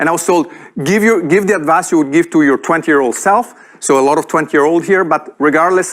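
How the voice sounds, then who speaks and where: At a fairly quick pace, a man talks with a fairly high pitch and lively intonation. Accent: Italian. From Italy. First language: Italian. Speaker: entrepreneur and speaker. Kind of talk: keynote talk. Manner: animated.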